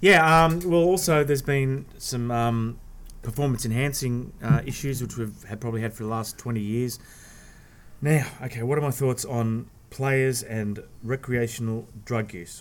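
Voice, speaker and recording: In an Australian accent, a man speaks at a fairly slow pace with a medium pitch and ordinary pitch variation. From Australia, Sydney. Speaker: sports journalist. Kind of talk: casual chat. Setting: outdoors.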